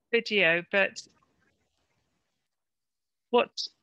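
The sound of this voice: A woman's very slow speech, dry and close with no echo, bright and sharp yet clear and smooth in tone, with ordinary pitch variation. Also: medium pitch for a woman.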